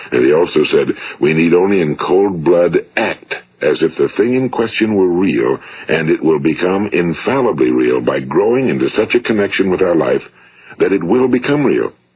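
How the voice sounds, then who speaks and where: There is noticeable background noise behind a man's voice. He keeps a moderate pace with very wide pitch swings. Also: fairly low pitch for a man. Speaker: motivational speaker. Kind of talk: motivational talk, recorded lecture. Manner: measured, earnest, authoritative.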